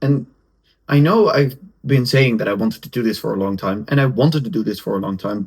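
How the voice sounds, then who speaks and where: A man talks in a somewhat breathy voice. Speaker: podcaster and content creator. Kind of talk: solo podcast monologue. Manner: halting, with restarts; casual. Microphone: camera's built-in mic, poor sound.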